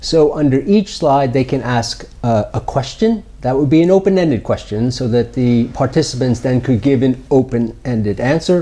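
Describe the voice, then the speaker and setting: Spoken with an American accent at a moderate pace, the voice has ordinary pitch variation and hardly any pauses. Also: man, medium pitch for a man. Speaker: startup founder or executive. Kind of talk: interview. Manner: hesitant with many fillers.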